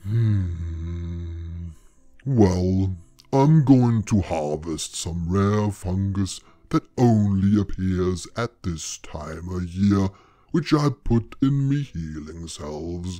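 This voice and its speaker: Putting on a character voice, a man talks at a very slow pace. His pitch is very deep and low. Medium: read story. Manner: blunt, gruff, dry.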